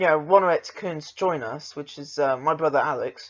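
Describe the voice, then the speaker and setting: A man speaks with an English accent. His pitch is fairly high, with ordinary pitch variation. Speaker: podcast host. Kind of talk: casual chat.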